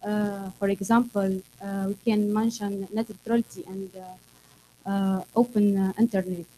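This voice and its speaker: Light background noise sits behind a woman speaking at a fairly slow pace. Her tone is dark and mellow, and her intonation is monotone and flat. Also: medium pitch for a woman. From Tunisia. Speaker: security activist; panelist. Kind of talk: panel discussion. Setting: stage with audience. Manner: halting. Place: meeting room.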